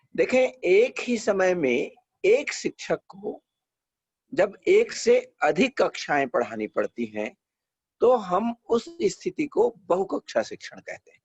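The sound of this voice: A man speaks slowly in a high voice with a slightly husky edge and big pitch swings, the sound dry and close with no echo.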